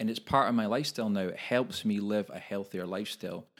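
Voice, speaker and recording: Very clean recording of a man's fairly low voice, fairly even intonation, silent background. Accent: Scottish. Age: 40s. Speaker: personal trainer and podcast co-host. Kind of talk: casual chat. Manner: halting, repeats words.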